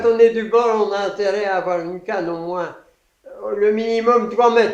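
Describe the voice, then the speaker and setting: With big swings in loudness, a man with a high pitch speaks at a moderate pace and keeps his intonation fairly even. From Brittany, France. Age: 80s+. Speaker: sea bass fisherman and lure designer. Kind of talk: interview answer.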